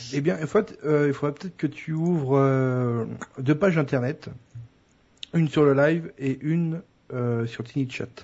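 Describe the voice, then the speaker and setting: A man with a fairly high, somewhat breathy voice talks at a very slow pace, leaving long, frequent pauses. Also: ordinary pitch variation. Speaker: podcast co-host. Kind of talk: casual chat.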